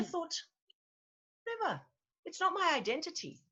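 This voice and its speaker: A woman's bright, sharp tone. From Zimbabwe. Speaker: actress and voice-over artist. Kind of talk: interview answer. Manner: lively, joyful.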